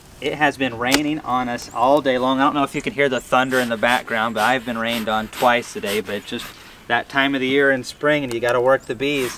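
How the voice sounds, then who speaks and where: Over noticeable background noise, a man talks at a fairly quick pace with fairly even intonation, the sound dry and free of echo. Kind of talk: tutorial. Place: garden. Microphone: camera far.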